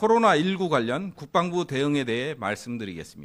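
On a very clean recording with a silent background, a man with a fairly high pitch speaks at a very slow pace with very wide pitch swings. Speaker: government spokesperson. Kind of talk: press briefing. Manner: formal.

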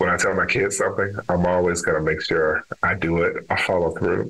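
There is noticeable background noise in this clip. A man is speaking. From Texas, Dallas. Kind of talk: interview conversation.

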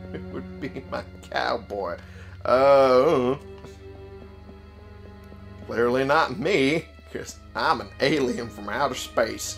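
A man uses a put-on character voice at a medium pitch, speaking at a very slow pace. Clear music plays in the background. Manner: fun, playful.

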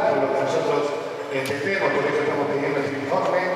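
A man amid noticeable background noise and strong room echo. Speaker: council member. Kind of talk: council debate speech. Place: hall.

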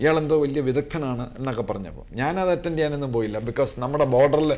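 Fairly high male speech with ordinary pitch variation. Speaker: retired police officer. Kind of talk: TV panel discussion. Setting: studio. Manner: halting.

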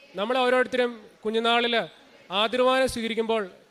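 The tone of this man's voice is bright and sharp. He talks with a high pitch. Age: 20s. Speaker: software engineer. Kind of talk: religious testimony.

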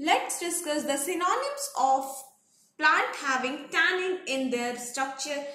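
A woman speaks at a very slow pace in a high pitch. Her voice is raised and projected. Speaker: pharmacy exam tutor. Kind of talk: lecture. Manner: repetitive dictation pace.

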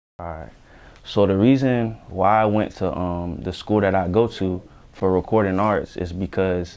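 A man speaks with a fairly low pitch. His intonation is fairly even, and his pace is moderate. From Broward County, Florida; Florida. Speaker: rapper. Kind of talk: interview. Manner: casual, slangy. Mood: relaxed, confident. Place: studio. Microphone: lapel.

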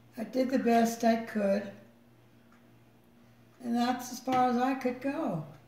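Speaking very slowly with long, frequent pauses, a woman with a high pitch keeps her intonation fairly even while room echo can be heard. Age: 80s+. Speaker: mother and great-great-grandmother. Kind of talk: interview answer. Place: home room. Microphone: phone near.

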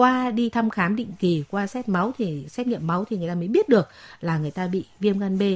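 A woman's somewhat breathy voice sits at a medium pitch with ordinary variation. She talks at a fairly quick pace. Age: 40s. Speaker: doctor. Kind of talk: advice call-in. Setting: studio.

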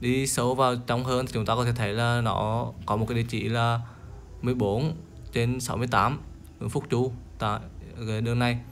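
With music in the background, a man speaks in a monotone, flat intonation at a fairly slow pace, with long, frequent pauses. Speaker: local travel vlogger. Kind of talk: guided tour commentary. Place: open country. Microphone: phone near.

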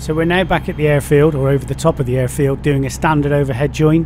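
A man talks at a fairly quick pace, with noticeable background noise behind him. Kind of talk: commentary. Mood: relaxed, slightly disappointed. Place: plane. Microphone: headset.

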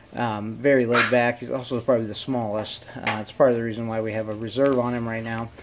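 Very fast speech over light background noise. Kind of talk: casual commentary. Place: home room. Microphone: phone near.

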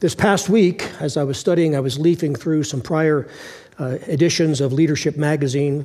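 Against a quiet background, a man speaks at a moderate pace. His tone is dark and mellow, with fairly even intonation. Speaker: pastor. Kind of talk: sermon. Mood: warm, lightly humorous. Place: church. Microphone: headset.

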